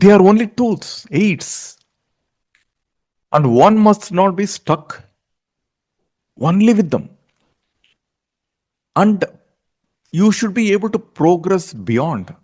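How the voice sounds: A man with high pitch, a slightly mellow tone and lively intonation, at a slow pace with long, frequent pauses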